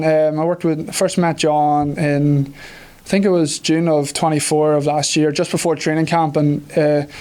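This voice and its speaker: A man's Irish-accented voice, fairly high in pitch yet dark and mellow in tone, monotone and flat, at a moderate pace with hardly any pauses. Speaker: professional football kicker. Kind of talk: press conference interview. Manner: hesitant, many fillers.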